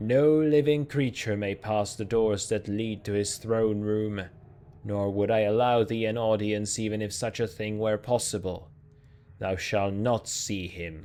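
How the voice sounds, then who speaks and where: A man performs a put-on character voice at a fairly low pitch, booming and resonant. His pace is moderate. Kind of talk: archaic, formal. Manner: commanding, imposing.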